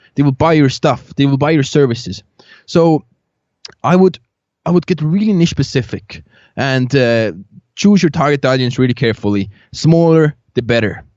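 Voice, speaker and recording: Pausing long and often, a man with a non-native accent speaks at a fairly high pitch with lively intonation and very even loudness. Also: moderate pace. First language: not English. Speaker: agency founder and podcaster. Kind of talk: podcast interview. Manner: halting, many fillers.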